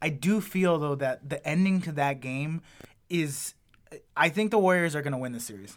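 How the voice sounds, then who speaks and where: A man with an ordinary speaking voice talks at a moderate pace and a fairly high pitch. His intonation is lively, and his loudness swings widely. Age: 30s. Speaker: podcast host and stand-up comedian. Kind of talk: casual chat.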